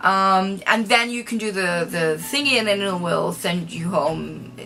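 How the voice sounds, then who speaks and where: A woman's fairly slow speech, with ordinary pitch variation, comes through noticeable background noise. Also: medium pitch for a woman. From Israel. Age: 30s. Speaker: vlogger. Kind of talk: casual storytelling vlog.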